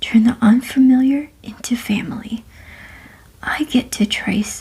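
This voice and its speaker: Soft-spoken and with a gentle tone, a woman speaks at a fairly high pitch with fairly even intonation over noticeable background noise. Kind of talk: ASMR bedtime story reading. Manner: soft-spoken, gentle.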